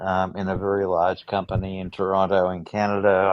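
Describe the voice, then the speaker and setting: An Australian accent in a fairly low male voice. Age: 60s. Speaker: film industry worker. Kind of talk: casual chat. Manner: hesitant, many fillers.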